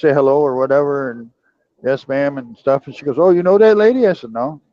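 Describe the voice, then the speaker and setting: Pitched fairly high, a man speaks in an ordinary speaking voice with ordinary pitch variation. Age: 60s. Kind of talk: casual chat.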